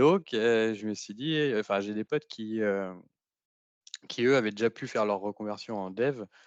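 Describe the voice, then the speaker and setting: Delivered at a fairly slow pace with ordinary pitch variation, the speech has big swings in loudness and a dry, close sound with no echo against a quiet background. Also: man, fairly low pitch for a man. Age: 30s. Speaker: trainee in a tech retraining program. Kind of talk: podcast testimony. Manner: hesitant, many fillers.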